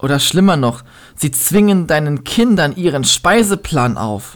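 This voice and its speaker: Very slowly, a man with a fairly high voice delivers his words with lively intonation. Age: 20s. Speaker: podcaster and slam poet. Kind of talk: poetry slam performance.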